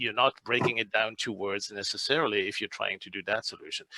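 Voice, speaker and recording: The voice has a bright, sharp tone, and the sound is dry and close with no echo. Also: man. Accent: French. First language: French. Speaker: speech translation expert. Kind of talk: webinar Q&A.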